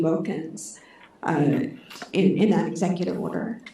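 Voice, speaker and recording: Soft-spoken and medium in pitch, a woman talks with ordinary pitch variation amid noticeable background noise and audible room echo. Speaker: audience member asking a question. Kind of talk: audience question. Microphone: microphone held too far from mouth.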